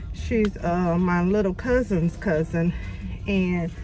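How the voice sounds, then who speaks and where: Clear music plays in the background as a woman speaks in a dry sound with no echo. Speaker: vlogger. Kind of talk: casual vlog chat. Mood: somewhat shaken, subdued. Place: car. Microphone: phone near.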